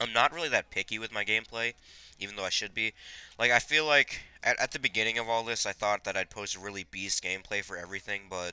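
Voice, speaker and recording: On a very clean recording with a silent background, a man speaks very fast at a fairly low pitch with ordinary pitch variation, his tone bright and sharp and the sound dry and close with no echo. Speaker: gaming video creator. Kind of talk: gameplay commentary. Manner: chewing gum while talking.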